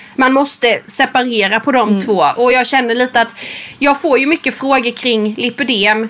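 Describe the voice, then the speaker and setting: A woman speaks with a high pitch. There is noticeable background noise. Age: 30s. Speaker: podcast co-host. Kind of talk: casual chat; reading aloud.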